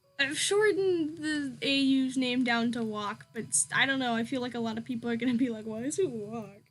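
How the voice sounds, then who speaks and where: A woman with a high pitch and lively intonation talks at a fairly quick pace with hardly any pauses, over noticeable background noise. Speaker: small YouTuber and artist streaming. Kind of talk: casual live stream chat while drawing. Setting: live stream. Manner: loud at times; rambling with fillers and hesitations.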